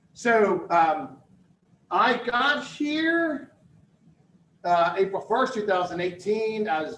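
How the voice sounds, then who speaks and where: A loud, energetic man with an American accent speaks at a high pitch with very wide pitch swings. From Philadelphia, US. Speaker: university dean and campus director. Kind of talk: presentation to a business audience. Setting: live talk with in-person and online audience.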